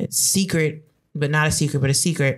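A woman with an American accent speaks in a very deep, low pitch, somewhat breathy, with ordinary pitch variation. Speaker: podcast guest. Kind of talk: casual chat.

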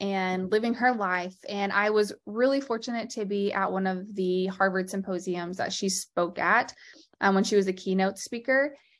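Using a normal speaking voice, a woman of medium pitch talks at a moderate pace in an American accent, with ordinary pitch variation and a quiet background. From Texas. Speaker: lymphedema therapist and podcast host. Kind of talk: interview.

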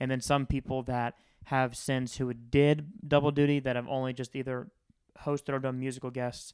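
A man talks with an American accent at a moderate pace and medium pitch. His intonation stays monotone and flat. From Florida. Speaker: podcast host. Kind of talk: casual chat.

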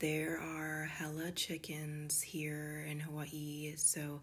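A woman speaks with a warm, soothing tone and a very deep, low pitch. Her voice is somewhat breathy. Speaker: wellness podcast host and esthetician. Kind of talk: guided meditation. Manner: soothing, slow and gentle, with a calm, unhurried pace; warm and affectionate, addressing listeners as 'goddess'.

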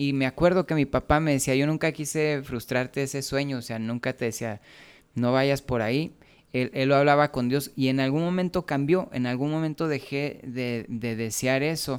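A man with a Mexican accent, fairly high pitch, fairly even intonation and a moderate pace, in a very clean recording with a silent background. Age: 40s. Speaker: musician and preacher. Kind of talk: casual chat. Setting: home studio.

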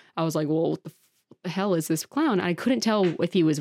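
A woman's fairly low voice at a very fast pace with ordinary pitch variation, in a very clean recording with a silent background and a dry, close sound with no echo. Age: 20s. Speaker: costume maker and model. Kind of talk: casual chat.

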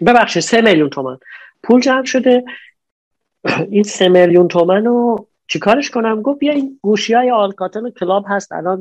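With lively intonation, a man speaks in a high voice at a moderate pace. He leaves long, frequent pauses. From Iran, Najafabad near Isfahan. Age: 40s. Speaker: businessman, importer and exporter. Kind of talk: interview conversation. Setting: online call.

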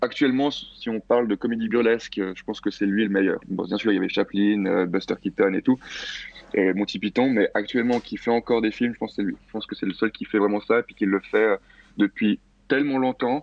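A plain, everyday voice talks at a fairly quick pace. The intonation stays fairly even. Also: man, medium pitch for a man. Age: 20s. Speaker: film director and critic. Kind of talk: panel discussion.

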